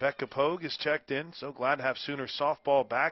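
Speaking at a moderate pace, a man with a fairly high pitch has an ordinary speaking voice. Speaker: softball radio announcer. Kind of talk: live play-by-play sports commentary. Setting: broadcast from the ballpark in El Paso. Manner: upbeat, polished, reads sponsor tags smoothly.

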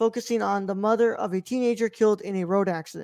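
Over a quiet background, a man speaks at a fairly quick pace with fairly even intonation and a dry sound with no echo. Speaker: podcast host. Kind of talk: reading film background info. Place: home room. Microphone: studio mic.

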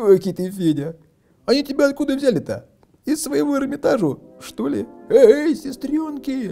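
Doing a put-on character voice, a man speaks at a moderate pace with an extremely high pitch, a dark, mellow tone, vocal fry and big pitch swings, over faint music in the background.

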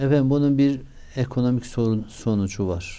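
Using lively intonation, a man talks at a fairly slow pace in a dark, mellow tone. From Turkey, Şanlıurfa. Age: 60s. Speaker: mayor. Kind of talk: interview. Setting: studio.

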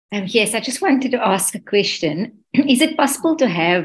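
A somewhat breathy woman's voice with lively intonation and a moderate pace. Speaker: event organizer; audience member. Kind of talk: casual chat. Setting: video call. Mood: friendly, smiling. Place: home room. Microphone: video call.

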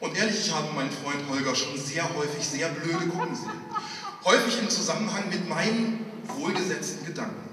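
A man with a high-pitched voice speaks at a fairly quick pace with lively intonation. Audible room echo and noticeable background noise surround him. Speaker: pastor and slam poet. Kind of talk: poetry slam performance, storytelling with dialogue. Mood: humorous storytelling. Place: church.

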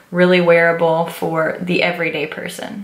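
Audible room echo around a woman's medium-pitched speech at a moderate pace. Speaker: beauty vlogger. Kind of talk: product review and makeup tutorial.

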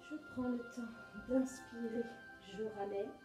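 Clear music plays in the background. A woman speaks at a very slow pace. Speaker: exercise instructor. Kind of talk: guided exercise instruction. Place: home room. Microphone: camera far.

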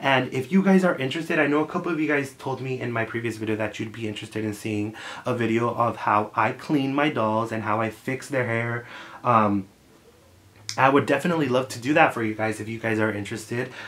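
Talking at a very fast pace, a man sounds animated, with ordinary pitch variation. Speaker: YouTuber. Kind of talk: casual vlog. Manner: animated, friendly. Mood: friendly, upbeat. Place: home room.

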